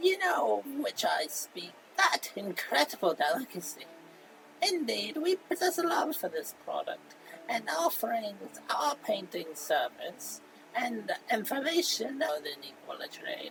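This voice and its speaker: A put-on character voice, fairly high in pitch and fairly slow, with clear background noise. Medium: solo performance. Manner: formal, flowery, polite.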